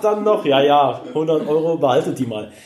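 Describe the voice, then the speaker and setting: Noticeable background noise and audible room echo around a speaking man. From Rhineland, near Cologne. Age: 40s. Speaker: special-needs care worker in training. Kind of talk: interview.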